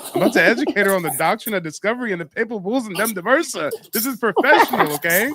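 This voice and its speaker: Speaking very fast with hardly any pauses, a man with an American accent uses a raised, projected voice, high in pitch, with very wide pitch swings and an animated tone over noticeable background noise. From US West Coast. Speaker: livestream host and genealogy educator. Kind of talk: live call-in stream.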